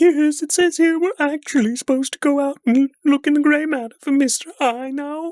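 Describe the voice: Using a put-on character voice, the speaker keeps a high pitch and a moderate pace with hardly any pauses.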